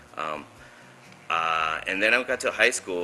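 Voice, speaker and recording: A man talks at a moderate pace in a very deep, low pitch. Music plays in the background. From Oxnard, California, US. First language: Spanish. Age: young. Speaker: film producer. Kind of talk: interview. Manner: halting.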